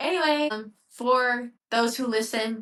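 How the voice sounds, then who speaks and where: A fairly high woman's voice with a US Midwestern accent. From Ohio, US Midwest. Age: 20s. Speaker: podcaster. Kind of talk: reflective solo talk. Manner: casual, with fillers.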